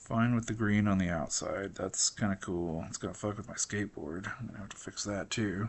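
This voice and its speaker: The intonation is fairly even, at a fairly quick pace. It is a normal speaking voice. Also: man, fairly low pitch for a man. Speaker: digital artist and designer. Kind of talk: drawing tutorial. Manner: casual, thinking aloud.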